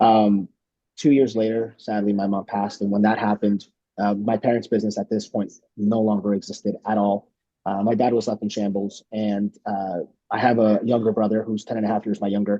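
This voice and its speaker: A man with a fairly low pitch, flat, monotone intonation and a fairly quick pace. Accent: Spanish. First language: Spanish. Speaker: congressional candidate. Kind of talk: candidate introduction at virtual town hall. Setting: video call. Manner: hesitant, many fillers and repetitions.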